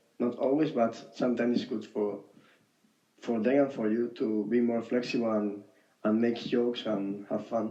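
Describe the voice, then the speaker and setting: Pausing long and often, a man speaks at a moderate pace in a medium pitch, his tone dark and mellow and his intonation fairly even. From Spain. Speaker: former volunteer. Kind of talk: casual chat. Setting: phone call. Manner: halting.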